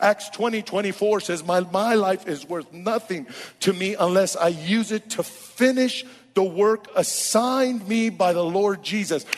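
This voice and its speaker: Speaking very slowly with an American accent, a man has a high pitch and ordinary pitch variation, over noticeable background noise. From Oakland, California. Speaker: senior pastor. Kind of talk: interview and sermon excerpts. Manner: animated.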